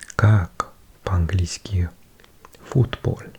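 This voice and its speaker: Noticeable background noise surrounds a whispering voice. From Wales. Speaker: ASMR creator. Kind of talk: ASMR language-learning read. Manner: whispered; soft-spoken.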